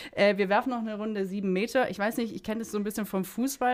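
A woman at a very fast pace, her pitch fairly high. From Swabia, southern Germany. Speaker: radio host. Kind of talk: podcast interview.

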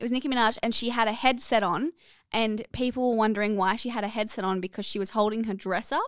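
Recorded very cleanly against a silent background, with a dry, close sound and no echo, a woman speaks at a fairly high pitch and ordinary pitch variation in an Australian accent. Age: 20s. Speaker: podcast co-host. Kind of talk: casual chat. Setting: studio.

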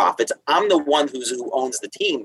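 Here a man speaks with a New York accent. The sound is dry and close, with no echo. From Long Island, New York. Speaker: attorney guest. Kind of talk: casual interview conversation.

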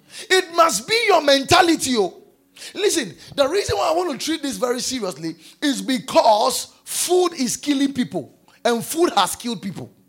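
At a moderate pace, a man speaks in an extremely high pitch with very wide pitch swings. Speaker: pastor. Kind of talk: sermon. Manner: animated.

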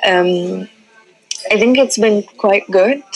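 A woman speaks at a very slow pace in a North African accent. Noticeable background noise runs underneath. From Libya. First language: Tamazight. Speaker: artist and art curator. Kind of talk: interview. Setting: phone call from a cafe. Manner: halting, many fillers.

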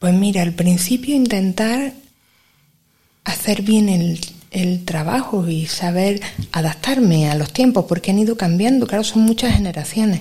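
A woman speaks at a medium pitch with ordinary pitch variation. Her tone is dark and mellow, and somewhat breathy. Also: fairly slow pace. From Granada, Spain. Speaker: secondary school teacher. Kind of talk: interview.

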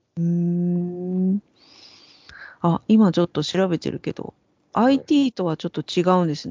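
A woman with a fairly low pitch speaks fairly slowly, taking long, frequent pauses, with ordinary pitch variation. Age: 40s. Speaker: podcast co-host, creator. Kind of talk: casual chat.

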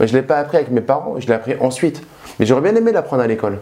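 His voice has a dark, mellow tone, and this man speaks at a medium pitch. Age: 30s. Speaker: real estate investment youtuber. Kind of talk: casual vlog monologue. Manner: animated.

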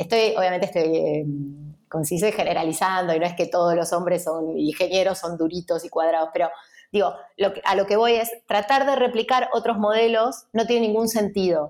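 Here is a woman with a normal speaking voice, medium in pitch and ordinary in variation. She talks at a fairly quick pace. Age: 30s. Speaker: entrepreneur and designer. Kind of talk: interview.

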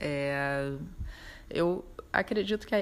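This woman's voice sits at a very deep, low pitch. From Brazil, Rio de Janeiro. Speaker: ceramic artist. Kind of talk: interview. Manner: halting, many fillers.

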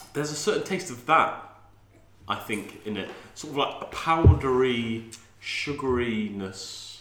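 A man with an English accent, medium in pitch, fairly slow, with big swings in loudness, over noticeable background noise. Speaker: podcast host. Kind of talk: casual chat.

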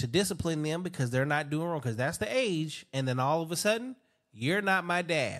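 A normal speaking voice with lively intonation comes through on a very clean recording with a silent background. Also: man. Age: 40s. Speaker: podcast host. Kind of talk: casual chat.

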